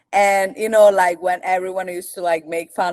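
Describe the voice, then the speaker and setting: Recorded with a dry, close sound and no echo, a woman talks with an Italian accent. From Italy, Rome. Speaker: content creator. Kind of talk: casual interview chat.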